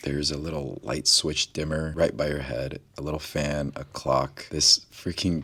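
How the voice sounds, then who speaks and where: The voice moves at a moderate pace and carries vocal fry. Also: man. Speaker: travel vlogger. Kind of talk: travel vlog talking to camera. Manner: soft-spoken.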